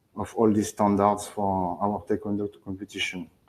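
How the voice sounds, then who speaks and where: In a French accent, a man speaks at a fairly low pitch with monotone, flat intonation. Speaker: sports federation technology manager. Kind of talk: presentation and Q&A. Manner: halting.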